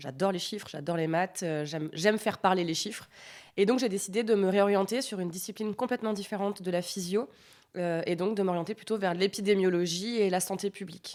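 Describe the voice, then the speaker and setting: Here a woman has an unremarkable speaking voice, medium pitch and ordinary pitch variation. She talks at a fairly quick pace on a very clean recording with a silent background. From France, countryside near Grenoble. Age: 20s. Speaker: PhD student in epidemiology. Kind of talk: podcast interview.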